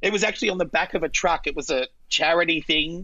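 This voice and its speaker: With a strong Australian accent, a woman speaks at a medium pitch. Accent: broad Australian. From Australia, central Queensland. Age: 40s. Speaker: drag queen. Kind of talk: casual chat.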